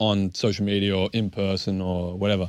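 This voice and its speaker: Fairly deep in pitch, a man talks in an Australian accent, the recording very clean and the background silent. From Melbourne, Australia. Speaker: professional basketball player. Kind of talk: casual chat. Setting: studio.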